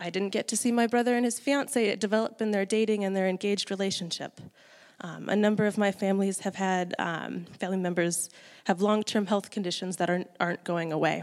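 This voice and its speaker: A woman's medium-pitched voice in an American accent, very fast, with fairly even intonation. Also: very clean recording, silent background. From US Midwest. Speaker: church lay speaker. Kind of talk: sermon.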